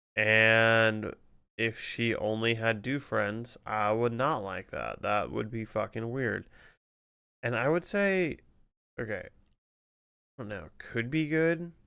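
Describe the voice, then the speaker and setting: On a very clean recording with a silent background, a man with a bright, sharp tone and medium pitch speaks at a very slow pace, using ordinary pitch variation and long, frequent pauses. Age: 30s. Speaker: streamer. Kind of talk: casual chat. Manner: casual, conversational.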